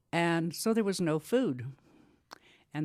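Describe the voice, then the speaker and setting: At a moderate pace, a woman speaks with an American accent on a very clean recording with a silent background. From US Midwest and Gallup, New Mexico. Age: 70s. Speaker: oral history interviewee. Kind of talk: oral history interview.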